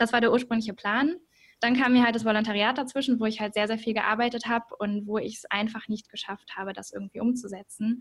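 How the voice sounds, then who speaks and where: A woman talks very fast at a fairly high pitch, her loudness swinging widely, her voice somewhat breathy and her intonation flat and monotone. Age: 20s. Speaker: journalism student and podcaster. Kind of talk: interview.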